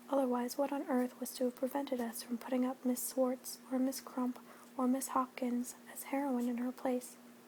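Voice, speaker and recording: Over noticeable background noise, a woman speaks in a high, monotone voice with flat intonation at a moderate pace. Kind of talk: audiobook-style reading of a classic novel. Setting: home recording.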